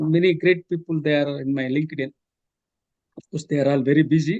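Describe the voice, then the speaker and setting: A man with an Indian accent speaks at a moderate pace, his voice fairly high and his intonation fairly even. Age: 60s. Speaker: professor and author. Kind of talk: interview. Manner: halting, many fillers.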